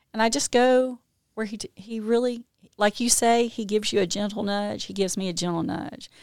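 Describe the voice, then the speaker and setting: In a dry, close recording with no echo, a woman speaks at a fairly high pitch with fairly even intonation. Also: fairly quick pace. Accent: Mississippi. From Mississippi, Jackson. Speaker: recovery advocate, health executive. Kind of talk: casual interview chat. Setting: studio.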